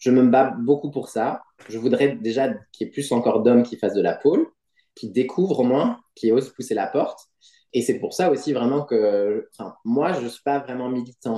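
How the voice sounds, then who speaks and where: The man's voice sits at a medium pitch with a dark, mellow tone and ordinary pitch variation. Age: 40s. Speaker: pole dancer and gymnastics coach. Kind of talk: interview.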